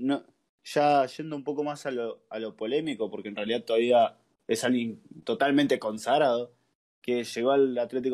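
At a moderate pace, a man with a Rioplatense accent speaks in a medium pitch, with a dark, mellow tone and fairly even intonation. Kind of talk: casual chat. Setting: live stream.

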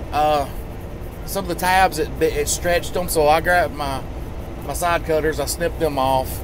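A moderate pace in a dry sound with no echo, against noticeable background noise. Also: man. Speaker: truck driver vlogger. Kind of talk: casual vlog chat. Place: car. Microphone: phone near.

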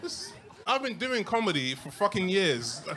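The speaker talks at a very fast pace with a London accent over light background noise. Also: man. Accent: British, London. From London, UK. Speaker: stand-up comedian. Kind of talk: live stand-up comedy set. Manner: bantering, sweary, incredulous. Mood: amused, mock-exasperated. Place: stage. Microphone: handheld.

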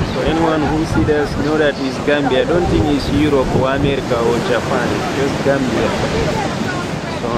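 Over loud background noise, a man talks at a moderate pace in a dry sound with no echo. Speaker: guide. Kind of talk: casual tour narration. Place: beach. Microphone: phone near.

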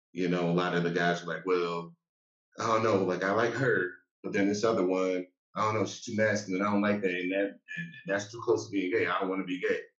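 A man speaks at a fairly quick pace in a fairly low voice, his intonation fairly even. Room echo is audible, and the background is quiet. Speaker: panelist. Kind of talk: panel discussion. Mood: frank, reflective. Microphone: video call.

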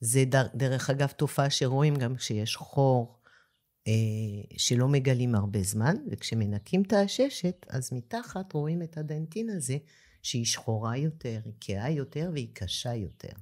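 A woman speaks with a very deep, low pitch and a dark, mellow tone. She talks at a fairly slow pace with lively intonation. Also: very clean recording, silent background. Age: 50s. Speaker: dentist. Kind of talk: interview conversation.

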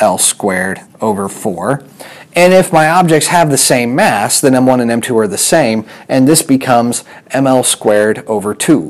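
Lively intonation at a moderate pace. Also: man. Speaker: physics teacher. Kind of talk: lecture. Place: classroom. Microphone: lapel.

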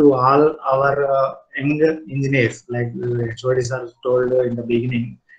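A man speaks in a flat monotone with a somewhat breathy quality over a quiet background. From India. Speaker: cement industry group manager, chief guest. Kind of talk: formal speech. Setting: online video call. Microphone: video call.

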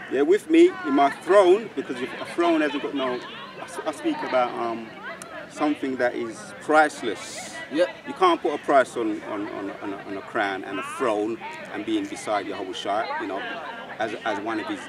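Over crowd noise in the background, a man speaks at a moderate pace in a dry sound with no echo. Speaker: street preacher. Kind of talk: preaching commentary. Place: open country. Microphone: camera far.

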